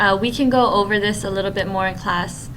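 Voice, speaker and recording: The voice shows ordinary pitch variation. Audible room echo and noticeable background noise come through. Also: woman. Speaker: middle school technology teacher. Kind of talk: screencast tutorial.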